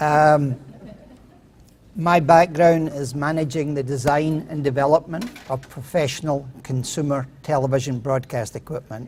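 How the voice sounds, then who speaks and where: A fairly slow pace in a Scottish accent. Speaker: inventor pitching a product. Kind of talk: contest pitch presentation. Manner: hesitant, with fillers.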